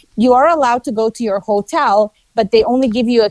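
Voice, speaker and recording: A woman with a non-native accent, ordinary pitch variation, and a dry, close sound with no echo. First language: not English. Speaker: travel reviewer guest. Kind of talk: casual interview.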